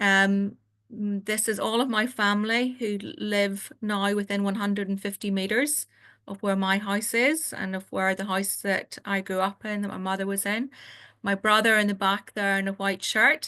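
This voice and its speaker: A woman with a Northern Irish accent speaks at a moderate pace in a medium pitch, with fairly even intonation. Her tone is bright and sharp against a quiet background. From Northern Ireland. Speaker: family doctor. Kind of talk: webinar presentation. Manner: halting.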